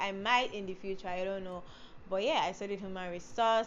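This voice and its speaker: Audible room echo fills the recording. The talking moves at a fairly quick pace. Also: woman. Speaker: beauty and lifestyle vlogger. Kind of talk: casual vlog talk to camera. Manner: fast; rushed words, tongue slips.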